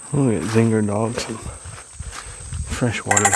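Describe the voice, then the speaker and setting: Against noticeable background noise, a man at medium pitch speaks with an American accent. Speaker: camping vlogger. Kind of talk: casual vlog narration outdoors. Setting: outdoors at a creek campsite. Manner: casual, occasional stumbles.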